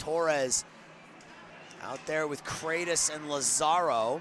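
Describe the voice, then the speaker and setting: A man with a slight New England accent, fairly high in pitch, at a very slow pace over noticeable background noise. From New England, Boston. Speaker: sports play-by-play announcer. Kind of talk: live commentary.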